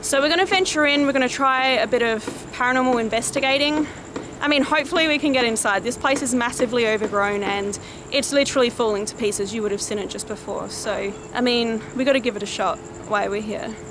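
Amid noticeable background noise, a woman speaks at a very fast pace with a high pitch and ordinary pitch variation, the sound dry with no echo. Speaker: paranormal explorer vlogger. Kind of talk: presenter to camera. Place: street. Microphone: phone near.

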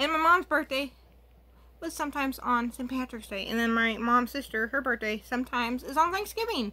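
A raised, projected voice at a moderate pace, bright and sharp in tone, with lively intonation. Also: woman. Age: 20s. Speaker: beauty YouTuber. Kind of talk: makeup tutorial. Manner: casual, chatty. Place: home room. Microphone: webcam.

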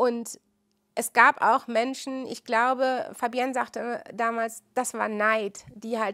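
A woman speaks very slowly in a high, bright, sharp voice with monotone, flat intonation. Her loudness swings widely, and the recording is very clean with a silent background. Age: 50s. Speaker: midwife. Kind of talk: interview testimony.

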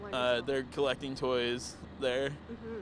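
A man's voice with ordinary pitch variation comes through with noticeable background noise and a dry sound with no echo. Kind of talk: interview answer. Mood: cheerful, festive. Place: open country. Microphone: handheld.

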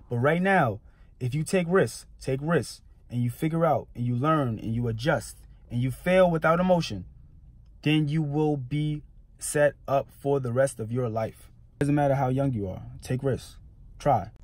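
In a dry recording with no echo, a man speaks at a moderate pace in a somewhat breathy voice with ordinary pitch variation. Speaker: entrepreneur vlogger. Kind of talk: motivational vlog talk. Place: car. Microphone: phone near.

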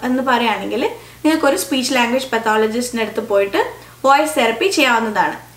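A woman speaks at a high pitch with audible room echo. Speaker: audiologist and speech language pathologist. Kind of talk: educational explainer to camera. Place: home room.

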